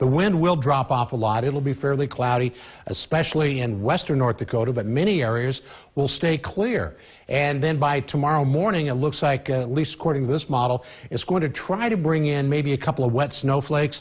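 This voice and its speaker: With very even loudness and a fairly quick pace, a man speaks in a somewhat breathy voice with ordinary pitch variation. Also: quiet background. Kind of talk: weather forecast presentation. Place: studio. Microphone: lapel.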